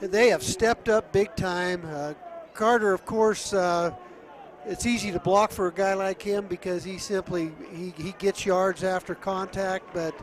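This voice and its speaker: A high-pitched male voice with fairly even intonation over noticeable background noise. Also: fairly slow pace. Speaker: color commentator, sports analyst. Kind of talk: football broadcast analysis.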